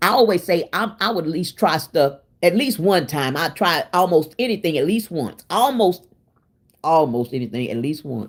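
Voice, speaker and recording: Loud and animated, a woman with a fairly low voice speaks at a moderate pace while her pitch swings very widely. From Oklahoma City, US. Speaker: cooking livestreamer. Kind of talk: casual live-stream chat.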